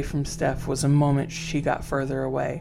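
Music plays in the background as a woman speaks at a very deep, low pitch. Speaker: horror storyteller podcast host. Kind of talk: horror story narration, reading a listener's first-person account aloud.

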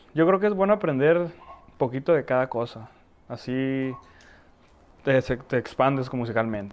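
Speaking fairly slowly at a medium pitch, a man leaves long, frequent pauses. Noticeable background noise runs underneath. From Tijuana, Mexico (born in Ecatepec, moved at four). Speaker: accordion player and backing vocalist. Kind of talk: casual interview chat. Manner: halting, repeats words.

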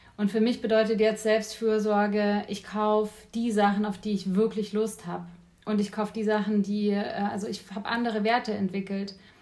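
Over noticeable background noise, a woman speaks at a moderate pace in a fairly high voice with monotone, flat intonation. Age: 30s. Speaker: life coach. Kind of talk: casual chat. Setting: kitchen.

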